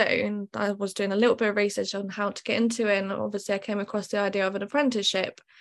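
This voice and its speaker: A woman speaks in a fairly high voice with a British accent. Her intonation is flat and monotone against a quiet background. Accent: British-sounding, evident. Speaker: tattoo artist. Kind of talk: casual interview, personal story.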